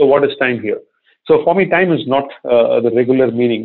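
A man with an Indian accent talks at a medium pitch. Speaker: corporate research executive. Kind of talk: interview.

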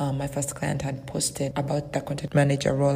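Over noticeable background noise, a woman speaks at a fairly quick pace in a very deep, low pitch. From Uganda. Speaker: virtual assistant business owner. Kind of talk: recorded interview answers.

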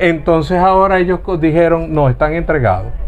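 Through noticeable background noise, a man with a high-pitched voice talks at a fairly quick pace. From Venezuela, Zulia (Lagunillas). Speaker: politician. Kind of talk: heated debate.

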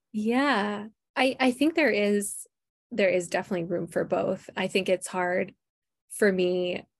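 A woman speaks with an Upper Midwest accent. Her pace is fairly slow. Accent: Upper Midwest American. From Minnesota, Twin Cities. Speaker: book publicist. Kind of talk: interview.

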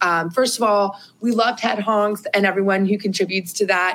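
A woman speaks in an American accent at medium pitch. Her pace is fairly quick and her intonation fairly even. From US Midwest, Columbus, Ohio. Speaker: podcast co-host. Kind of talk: casual chat.

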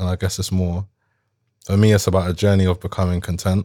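In a South London accent, a man with a very deep, low pitch talks at a very fast pace in a monotone, flat intonation, captured in a very clean recording with a silent background. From London, Croydon. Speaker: rapper. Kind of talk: casual chat.

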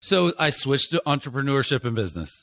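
This man speaks at a fairly quick pace. The recording is very clean, with a silent background. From Florida. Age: 40s. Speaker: author and marketing entrepreneur. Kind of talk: casual interview. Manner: animated.

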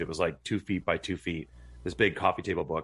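A man speaks at a fairly quick pace with a very deep, low pitch. His intonation is fairly even, and the recording is very clean with a silent background. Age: 40s. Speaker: homesteader. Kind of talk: casual chat.

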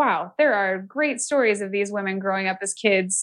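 A woman talks at a moderate pace in a plain, everyday voice with an American accent. Her pitch is medium, with ordinary pitch variation. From US West Coast, San Francisco Bay Area. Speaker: author and illustrator. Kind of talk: casual interview chat.

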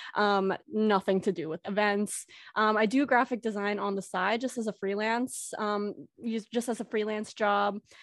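With fairly even intonation and a moderate pace, this is an ordinary speaking voice. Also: woman, medium pitch for a woman. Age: 20s. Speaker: fan event organizer. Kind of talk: casual chat. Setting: video call.

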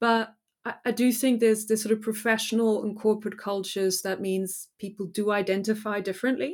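A woman with a fairly high pitch talks in fairly even intonation, captured on a very clean recording with a silent background. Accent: German. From Germany. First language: German. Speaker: business historian, professor. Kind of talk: interview.

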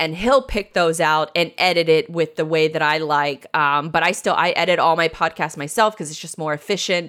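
An ordinary speaking voice from a woman with an American accent, fairly low in pitch, at a moderate pace. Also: ordinary pitch variation. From Jacksonville, Florida, US South. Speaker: web and marketing business owner. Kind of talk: interview.

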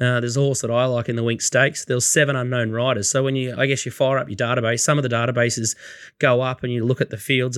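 A man talks very fast in an Australian accent. His medium pitch moves with fairly even intonation. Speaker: racing podcast host. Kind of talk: casual chat.

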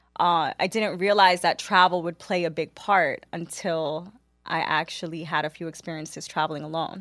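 This woman talks at a moderate pace in a New York accent, her intonation monotone and flat. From New York City (Queens), Caribbean household. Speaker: media marketing professional. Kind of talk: casual chat.

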